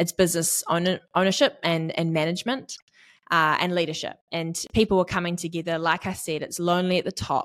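A woman with a New Zealand accent speaks at a fairly quick pace in a fairly low pitch. Her intonation is fairly even, on a very clean recording with a silent background. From New Zealand, East Auckland. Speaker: business community manager. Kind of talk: interview.

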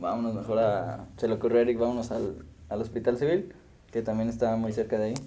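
At a fairly quick pace, a man with a medium pitch and a dark, mellow tone speaks amid audible room echo. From Mexico, Morelia, Michoacán. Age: 20s. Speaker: podcast host. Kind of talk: casual chat.

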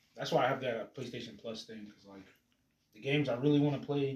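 This man's voice is somewhat breathy and medium in pitch. He moves at a fairly quick pace with fairly even intonation. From Jamaican heritage. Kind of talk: casual chat.

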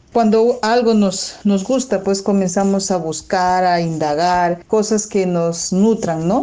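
A woman talks at a very slow pace with medium pitch and ordinary pitch variation, her tone dark and mellow. She hardly pauses at all, and the background is quiet. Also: very even loudness. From Peru. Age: 40s. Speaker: alternative medicine therapist. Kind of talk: personal testimony. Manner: hesitant, with repetitions.

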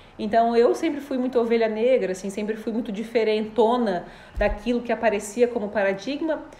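A woman's fairly high voice, fairly quick and with ordinary pitch variation, over noticeable background noise. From Florianópolis, southern Brazil. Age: 30s. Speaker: live stream host. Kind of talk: live stream chat with viewers. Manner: warm, animated.

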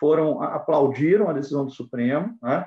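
This man talks at a fairly slow pace with fairly high pitch and ordinary pitch variation. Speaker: judge and law professor. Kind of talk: lecture-style interview. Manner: halting.

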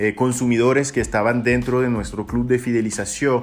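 Over music in the background and audible room echo, a man with a French accent speaks in a flat, monotone way. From France. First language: French (speaking Spanish). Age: 30s. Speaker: company executive. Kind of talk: lecture.

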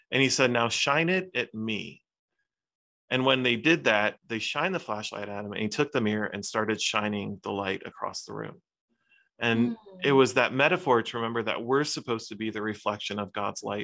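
Using a normal speaking voice, a man with a medium pitch speaks at a fairly quick pace with ordinary pitch variation. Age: 40s. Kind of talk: casual reflection.

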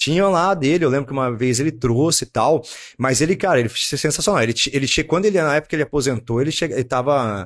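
Very clean audio, silent background. A man talks very fast in a fairly high voice with ordinary pitch variation. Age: 30s. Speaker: martial arts gym owner and kickboxing coach. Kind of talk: casual chat.

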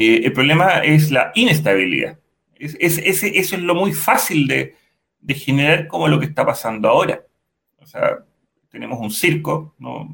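A man at a fairly slow pace, with big swings in loudness. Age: 50s. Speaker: civil and industrial engineer, panelist. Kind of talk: casual chat. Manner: halting, many repetitions.

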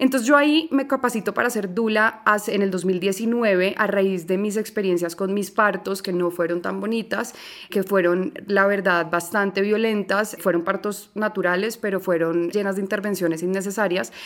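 Behind a woman's medium-pitched speech, there is noticeable background noise. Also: ordinary pitch variation, moderate pace. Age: 30s. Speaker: journalist and doula. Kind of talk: interview.

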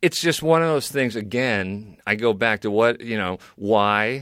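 Recorded dry and close with no echo against a silent background in a very clean take, a man speaks fairly slowly at a medium pitch with ordinary variation. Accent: American. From New York, Bedford area. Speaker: comedian and TV personality. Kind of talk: casual chat. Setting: studio. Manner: halting, many fillers.

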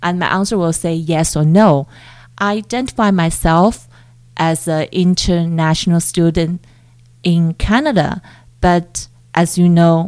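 With long, frequent pauses, a woman with a fairly low pitch speaks at a fairly slow pace and with fairly even intonation. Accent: Mandarin. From China (Chongqing). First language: Mandarin. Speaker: PhD researcher in education. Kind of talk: interview.

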